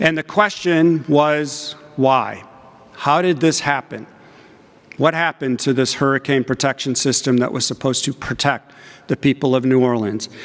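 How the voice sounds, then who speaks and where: Using an ordinary speaking voice, a man talks at a moderate pace with a fairly high pitch and ordinary pitch variation. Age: 60s. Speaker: engineering professor. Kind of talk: conference talk. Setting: stage with audience.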